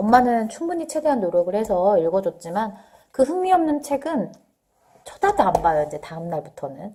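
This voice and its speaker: A woman's fairly high voice at a moderate pace, with very wide pitch swings and big swings in loudness. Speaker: parenting vlogger. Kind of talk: casual talk to camera. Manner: conversational with fillers.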